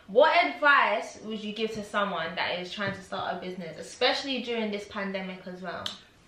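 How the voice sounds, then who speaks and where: A woman talks with lively intonation and hardly any pauses. Audible room echo and light background noise surround her. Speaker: YouTuber interviewer. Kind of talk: casual interview. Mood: friendly, upbeat. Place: home room. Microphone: camera far.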